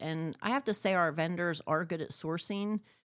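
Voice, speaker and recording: With an ordinary speaking voice, a woman talks at a moderate pace and fairly low pitch on a very clean recording with a silent background. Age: 60s. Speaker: antique shop owner. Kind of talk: casual interview. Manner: conversational, filler-heavy.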